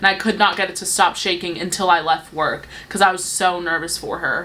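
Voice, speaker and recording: Heard over noticeable background noise, a woman talks at a moderate pace and a medium pitch. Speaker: beauty youtuber. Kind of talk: casual chat.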